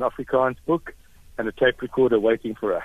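A man with a plain, everyday voice speaks at a medium pitch and moderate pace with ordinary pitch variation. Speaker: caller, former student. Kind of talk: radio call-in tribute. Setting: phone call.

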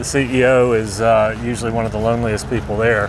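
Noticeable background noise accompanies a man with an American accent. He talks at a fairly quick pace and medium pitch, with monotone, flat intonation. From US South, Alabama. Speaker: entrepreneur, company founder. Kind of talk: casual interview. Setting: on location at a business school.

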